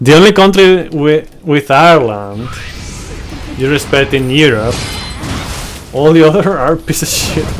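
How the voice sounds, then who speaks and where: Music plays in the background as a man with a Spanish accent speaks at a fairly slow pace with long, frequent pauses. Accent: Spanish accent, milder than usual locally. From Spain, Barcelona (Catalonia). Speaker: video game streamer. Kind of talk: casual live-stream chat. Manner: hesitant, many fillers and repeats.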